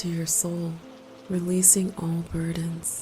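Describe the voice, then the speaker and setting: Monotone, flat delivery at a very slow pace over music in the background. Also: woman. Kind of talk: sleep scripture reading and prayer. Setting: with rain sounds in background. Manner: calm, soothing, slow.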